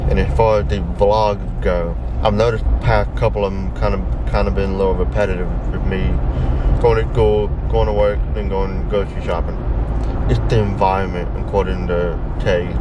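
Loud background noise sits behind a man who speaks at a fairly quick pace. The sound is dry, with no echo. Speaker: vlogger. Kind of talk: casual vlog chat. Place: car.

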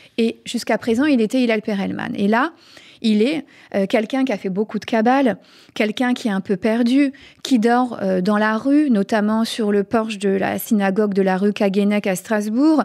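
A woman speaks at a moderate pace with a fairly high pitch. Her pitch variation is ordinary, and the background is quiet. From France. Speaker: author; radio guest. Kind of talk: interview. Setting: studio. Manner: halting. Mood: calm, friendly. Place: studio. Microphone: studio mic.

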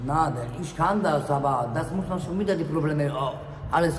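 A man with a Polish accent speaks at a moderate pace in a fairly high pitch, with ordinary pitch variation, audible room echo and light background noise. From Poland. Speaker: homeless man. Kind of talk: street interview. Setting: outdoors. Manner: halting. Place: station. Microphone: phone near.

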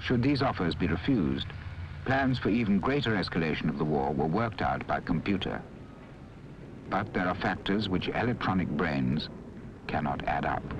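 Over noticeable background noise, a man with a very deep, low pitch makes very wide pitch swings and leaves long, frequent pauses. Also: moderate pace. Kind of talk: 1960s documentary film narration. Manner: formal, measured, steady newsreel-style delivery; grave and solemn. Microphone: old recording.

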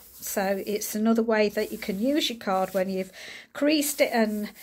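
A woman's voice with very wide pitch swings. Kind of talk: tutorial. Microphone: phone near.

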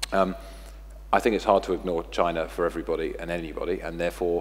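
With vocal fry, a man speaks at a very fast pace in a very deep, low pitch. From England. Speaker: technology company executive; guest. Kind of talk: panel discussion Q&A. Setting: stage with audience. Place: stage. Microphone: headset.

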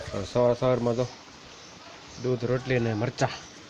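A man at medium pitch over noticeable background noise. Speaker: farming vlogger. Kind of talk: casual vlog narration. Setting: outdoors on farm in rain and wind.

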